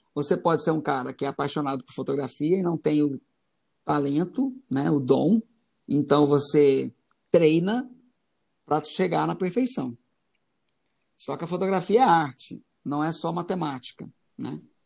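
In a dry, close recording with no echo, a man with a fairly high voice and ordinary pitch variation talks at a fairly slow pace with long, frequent pauses. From Goiás, Brazil. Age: 40s. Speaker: concert photographer and musician. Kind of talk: casual interview.

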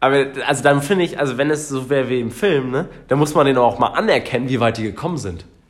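A man's medium-pitched voice at a very fast pace. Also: ordinary pitch variation. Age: 20s. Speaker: podcast co-host. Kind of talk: casual chat.

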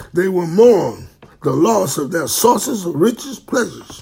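There is noticeable background noise as a man speaks at a fairly slow pace. His pitch swings very widely. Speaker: preacher. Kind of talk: bible teaching.

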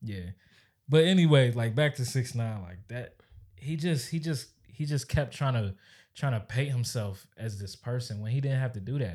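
A man's somewhat breathy, medium-pitched voice at a moderate pace, with ordinary pitch variation. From Maryland. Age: 20s. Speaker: podcast co-host. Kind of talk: casual chat.

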